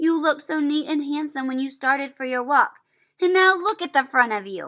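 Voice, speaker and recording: Putting on a character voice, a woman talks at a fairly quick pace in a high pitch with lively intonation. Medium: read story. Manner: fond, mildly scolding.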